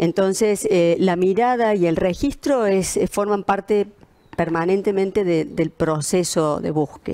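Against a quiet background, a woman with a dark, mellow tone speaks at a medium pitch and a fairly slow pace, with ordinary pitch variation and very even loudness. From Argentina. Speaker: architect. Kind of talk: presentation. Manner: halting, many fillers. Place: home room.

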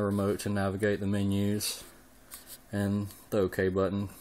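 Fairly low in pitch, a man with an American accent talks at a fairly quick pace in a monotone, flat intonation. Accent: thick country. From Southern US. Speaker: home theater hobbyist. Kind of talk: casual talk to camera. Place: home room. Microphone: phone near.

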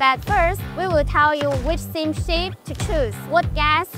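A woman at a moderate pace, dry sound with no echo, clear music in the background. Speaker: presenter. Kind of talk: product tutorial presentation. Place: hall. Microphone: lapel.

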